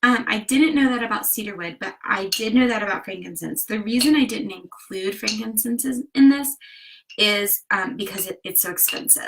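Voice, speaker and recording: A woman with a Southern US accent speaks at a moderate pace in a fairly high voice, her pitch varying in an ordinary way while her loudness swings widely. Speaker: DIY and wellness vlogger. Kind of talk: tutorial. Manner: casual with frequent fillers.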